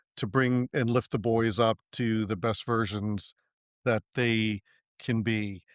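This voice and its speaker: A man speaks in a plain, everyday voice at medium pitch with fairly even intonation. The sound is dry and close with no echo, and the recording is very clean with a silent background. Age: 60s. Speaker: podcast host. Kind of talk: podcast interview. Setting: audio podcast recording.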